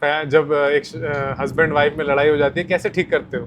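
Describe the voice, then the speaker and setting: A man talks at a moderate pace in an ordinary speaking voice. His pitch is fairly high, and his intonation stays fairly even. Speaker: podcast host. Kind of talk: interview questions.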